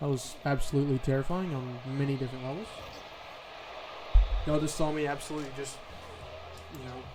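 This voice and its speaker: A man at a fairly high pitch with ordinary pitch variation and a fairly quick pace, with music in the background and audible room echo. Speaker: gaming video creator. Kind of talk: gameplay commentary. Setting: at home.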